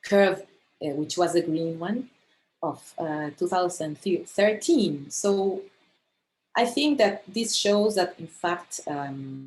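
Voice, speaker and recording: Speaking at a very slow pace with lively intonation, a woman talks in a Spanish accent. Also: medium pitch for a woman. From Argentina. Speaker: astronomer. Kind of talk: lecture. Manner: halting.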